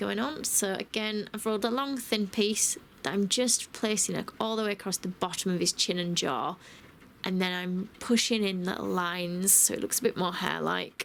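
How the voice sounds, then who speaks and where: A woman's medium-pitched voice with a British accent and ordinary pitch variation. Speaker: cake decorator. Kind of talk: cake decorating tutorial voice over. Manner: casual, friendly.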